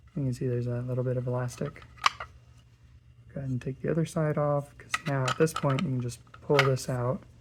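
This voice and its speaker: A fairly quick pace broken by long, frequent pauses, over noticeable background noise. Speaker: maker showing a build. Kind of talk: tutorial. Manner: casual, filler-heavy.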